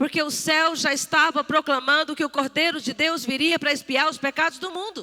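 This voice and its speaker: A woman's raised, projected voice, high in pitch, at a moderate pace, in a dry, close sound with no echo. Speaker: church speaker. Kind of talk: sermon.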